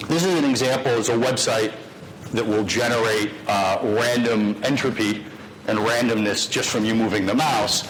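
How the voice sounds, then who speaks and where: Noticeable background noise and audible room echo around a man's voice, medium in pitch, with ordinary pitch variation. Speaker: lecturer. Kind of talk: lecture. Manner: fast.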